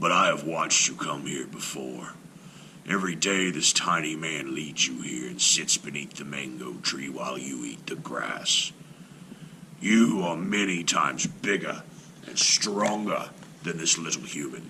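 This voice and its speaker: Growling in a put-on character voice, a man speaks at a very deep, low pitch and a moderate pace over clear background noise. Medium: read story. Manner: courteous, sly.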